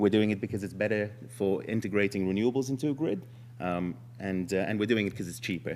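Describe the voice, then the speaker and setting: Vocal fry marks this man's fairly low voice as he talks at a very fast pace with lively intonation. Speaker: startup founder pitching. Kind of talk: startup pitch presentation. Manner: hesitant, many fillers.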